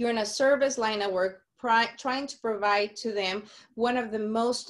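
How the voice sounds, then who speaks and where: A woman speaks with a Mexican accent. Her pitch is fairly high and her intonation fairly even. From Sonora, Mexico. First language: Spanish. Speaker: community outreach speaker. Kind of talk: webinar presentation.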